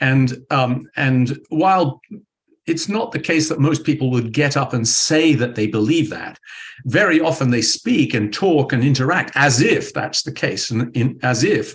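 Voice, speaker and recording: A man's fairly high, somewhat breathy voice in a British accent, with lively intonation, a fairly slow pace and a quiet background. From United Kingdom. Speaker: physics professor. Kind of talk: interview. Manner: hesitant, with many fillers and restarts.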